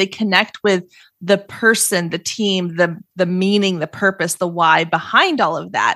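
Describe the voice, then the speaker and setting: A woman with an American accent speaks in a plain, everyday voice at a medium pitch and a moderate pace, with ordinary pitch variation. The sound is dry and close with no echo. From Texas, Waco. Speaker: entrepreneur and podcaster, social media coach. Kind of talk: podcast interview. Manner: casual, conversational with fillers.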